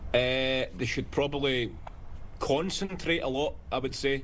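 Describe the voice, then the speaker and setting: Speaking with a Scottish accent, the man keeps a medium pitch, fairly even intonation and a fairly slow pace. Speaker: touring stage performer being interviewed.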